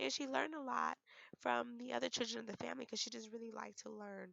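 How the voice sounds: Speaking at a fairly quick pace, a woman with fairly high pitch, a fairly bright tone, vocal fry and fairly even intonation is heard.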